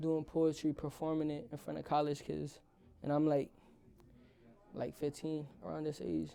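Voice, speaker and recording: At a moderate pace, a man with a fairly high pitch and a dark, mellow tone speaks with long, frequent pauses. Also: fairly even intonation. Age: 20s. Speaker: rapper and streamer. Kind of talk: casual chat. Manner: casual, slangy.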